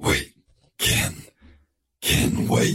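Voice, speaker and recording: The speaker puts on a croaky character voice. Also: man. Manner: pleading.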